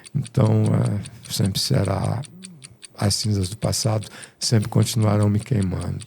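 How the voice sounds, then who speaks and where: A man talks in a dark, mellow tone at a fairly low pitch. He keeps a fairly slow pace. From Rio de Janeiro, Brazil. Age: 70s. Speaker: musician. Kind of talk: interview.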